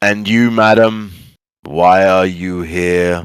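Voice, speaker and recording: Putting on a character voice, a man speaks at a very slow pace in a very deep, low pitch. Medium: actual play. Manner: curt, hostile.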